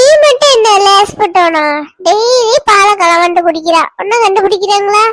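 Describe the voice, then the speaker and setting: At a fairly slow pace, the cartoonish character voice speaks with an extremely high pitch. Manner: chatty storyteller.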